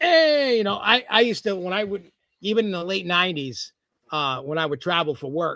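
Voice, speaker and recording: Bright and sharp in tone, a man speaks at a fairly quick pace with lively intonation. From New England, Rhode Island. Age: 40s. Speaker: podcast host and entertainer. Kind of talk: casual chat. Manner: animated.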